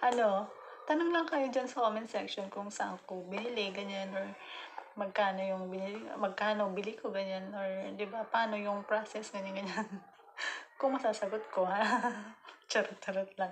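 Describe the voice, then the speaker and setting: A woman talks at a moderate pace with ordinary pitch variation against noticeable background noise. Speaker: vlogger. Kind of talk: casual vlog chat. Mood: cheerful, joking, laughing often. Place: home room. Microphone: phone near.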